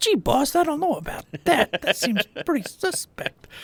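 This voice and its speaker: A put-on character voice with a high pitch is delivered at a moderate pace. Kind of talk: casual, comic, like a gruff sidekick.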